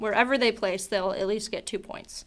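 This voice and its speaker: Her pitch fairly high, a woman talks at a moderate pace with fairly even intonation. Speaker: esports caster. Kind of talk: live commentary. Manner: casual, filler-heavy.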